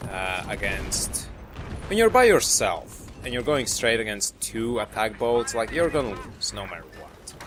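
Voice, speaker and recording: Over noticeable background noise, a man with a non-native accent speaks at a fairly slow pace, his loudness swinging widely. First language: not English. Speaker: gaming commentator. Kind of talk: gameplay commentary. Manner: halting. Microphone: cheap mic.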